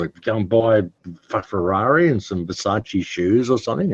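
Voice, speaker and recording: In a dry, close sound with no echo, a man with an Australian accent speaks at a fairly quick pace, his voice somewhat breathy. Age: 60s. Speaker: interview guest, independent researcher. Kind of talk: casual interview talk. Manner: halting, repeats words.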